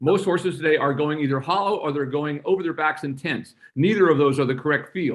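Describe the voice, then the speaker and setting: A man with an American accent talks at a fairly quick pace, his pitch fairly high and his intonation lively. It is an unremarkable speaking voice. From Kentucky, US South. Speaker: dressage trainer. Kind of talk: Q&A interview. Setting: video call.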